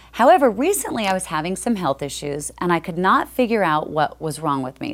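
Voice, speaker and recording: A woman's fairly quick speech at a medium pitch, with very wide pitch swings and noticeable background noise. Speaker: on-air host, voiceover artist. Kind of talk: infomercial talk show host.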